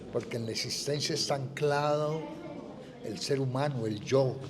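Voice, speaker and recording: A man's moderately paced speech is heard with audible room echo and noticeable background noise. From Colombia, Popayán. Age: 70s. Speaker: writer and painter. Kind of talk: interview. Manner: reflective, measured.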